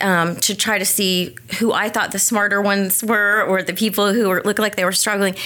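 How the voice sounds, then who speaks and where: A woman speaks in an ordinary speaking voice, her pitch medium and her pace moderate. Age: 40s. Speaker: dyslexia therapist. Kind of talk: interview.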